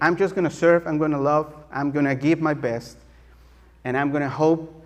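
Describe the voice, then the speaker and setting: A man's fairly high voice in a strong Mexican accent. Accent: thick Mexican Spanish. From Mexico City. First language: Spanish. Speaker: guest preacher. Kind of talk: sermon. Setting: church. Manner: halting, many fillers.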